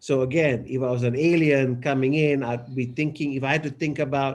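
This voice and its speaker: A man with a Keralan accent at medium pitch, fairly even intonation and moderate pace, against a quiet background. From Malaysia. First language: Malayalam. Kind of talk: casual chat.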